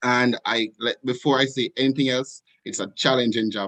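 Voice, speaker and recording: A man at medium pitch talks at a fairly quick pace in a monotone, flat intonation, the sound dry and close with no echo over a quiet background. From Jamaica. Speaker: student leader, panelist. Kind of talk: panel discussion. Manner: fast.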